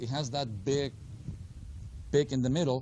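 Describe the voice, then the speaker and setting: At a moderate pace, a somewhat breathy man with a fairly high pitch speaks with ordinary pitch variation. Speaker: finance instructor. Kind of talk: lecture.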